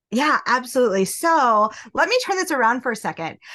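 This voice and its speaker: A bright, sharp tone moves through very wide pitch swings against a quiet background. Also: woman. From US Midwest, small-town Nebraska. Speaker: industrial engineer, business consultant. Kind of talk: podcast interview.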